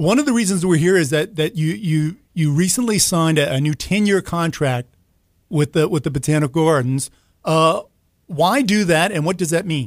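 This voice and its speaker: On a very clean recording with a silent background, a man speaks with a high pitch. His pace is moderate and his pitch variation ordinary. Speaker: newspaper arts reporter interviewer. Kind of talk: radio-style interview. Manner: halting, hesitant, repeats words.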